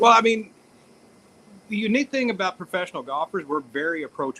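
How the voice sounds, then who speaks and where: A man with a high pitch and a bright, sharp tone projects his raised voice at a very fast pace with lively intonation, the sound dry and close with no echo. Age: 60s. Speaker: professional golfer. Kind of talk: casual interview chat. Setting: outdoors on location. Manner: halting, many fillers.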